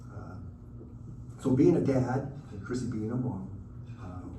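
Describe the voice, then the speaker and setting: The speaker has an American accent and a fairly slow pace. Audible room echo surrounds the voice. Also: man. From US Pacific Northwest (Redmond, Washington). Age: 60s. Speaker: sports photographer. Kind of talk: motivational talk to students. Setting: luncheon speech to audience. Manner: halting, frequent uh fillers.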